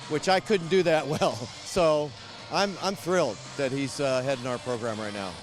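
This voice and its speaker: The speech has lively intonation and a moderate pace, with noticeable background noise. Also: man, fairly high pitch for a man. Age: 60s. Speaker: retired high school football coach. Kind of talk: sideline interview. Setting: outdoors at football stadium. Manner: halting, repeats words.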